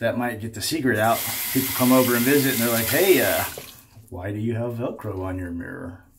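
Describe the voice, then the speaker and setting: Over noticeable background noise and audible room echo, a man with an American accent speaks fairly quickly at a medium pitch with ordinary pitch variation. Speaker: shaving video creator. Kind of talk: casual vlog chat. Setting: home bathroom.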